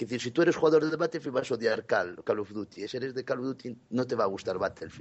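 A man at medium pitch, talking at a very fast pace in a Galician accent, with lively intonation and hardly any pauses. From Galicia, Spain. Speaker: gaming podcast contributor. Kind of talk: casual chat.

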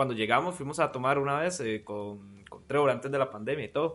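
A man's animated, bright and sharp voice at a fairly high pitch, with a Costa Rican accent, lively intonation and a fairly quick pace. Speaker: podcast co-host. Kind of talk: storytelling.

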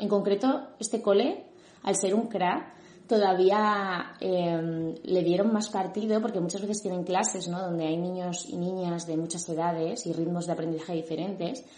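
This woman's voice sits at a medium pitch. Room echo can be heard around it. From Madrid, Spain. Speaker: educational psychologist. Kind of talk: interview.

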